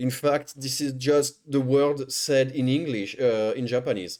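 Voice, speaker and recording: Speaking at a fairly slow pace, a man of medium pitch talks with a non-native accent. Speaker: streamer reacting to videos. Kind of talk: live stream reaction commentary. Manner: animated, stammering.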